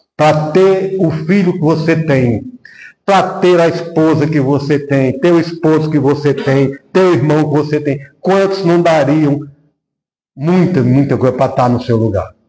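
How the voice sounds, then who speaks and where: With audible room echo, a man speaks fairly slowly at a fairly high pitch, his dark, mellow tone carrying ordinary pitch variation. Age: 60s. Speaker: spiritist lecturer. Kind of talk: sermon.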